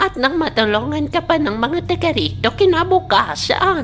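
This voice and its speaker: A woman performs a cartoonish character voice at a fairly slow pace. Loud background noise fills the recording. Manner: gentle, old-fashioned, formal.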